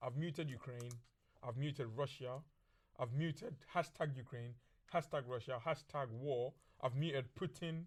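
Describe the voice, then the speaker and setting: With long, frequent pauses, a man of fairly high pitch speaks at a moderate pace with ordinary pitch variation on a very clean recording with a silent background. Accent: London. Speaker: podcast host. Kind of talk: casual chat. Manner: loud; animated.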